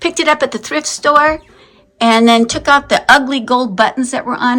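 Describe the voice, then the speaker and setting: A woman with an American accent, at a moderate pace with ordinary pitch variation. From northern Minnesota. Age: 60s. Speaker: crafter and video blogger. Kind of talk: casual home tour vlog. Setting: at home. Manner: animated.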